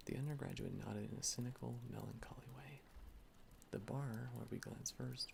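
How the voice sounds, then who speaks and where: Soft-spoken and whispering, a man talks at a moderate pace. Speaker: ASMR reader. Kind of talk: soft-spoken ASMR book reading. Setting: home recording with ambient rain and fireplace sounds. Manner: soft-spoken, whispered.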